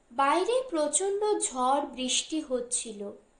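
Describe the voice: A woman speaks slowly at a high pitch, her intonation lively. There is audible room echo around her voice.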